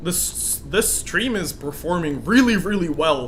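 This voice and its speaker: A man at a very slow pace, amid audible room echo and noticeable background noise. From Russian-speaking country. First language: Russian. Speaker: gaming streamer. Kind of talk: live game stream commentary. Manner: casual, many fillers.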